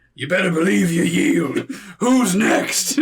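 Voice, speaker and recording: Using a put-on character voice, a man speaks high and raspy at a fairly slow pace. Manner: gruff, threatening.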